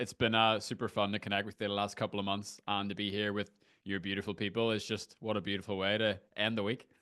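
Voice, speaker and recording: In an Irish accent, the speaker goes at a very fast pace with hardly any pauses. The tone is bright and sharp, and the background is quiet. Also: man. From Ireland. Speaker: screen-time coach. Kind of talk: interview conversation. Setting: video call from a garden shed.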